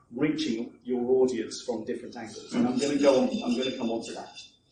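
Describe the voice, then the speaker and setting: In a room with audible echo and noticeable background noise, a man speaks at a fairly quick pace. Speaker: marketing coach. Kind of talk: seminar talk. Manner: fast; animated.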